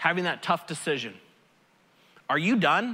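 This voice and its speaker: A man's raised, projected voice with a bright, sharp tone, an animated tone and lively intonation. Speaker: pastor. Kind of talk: sermon. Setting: church stage with audience. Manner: loud.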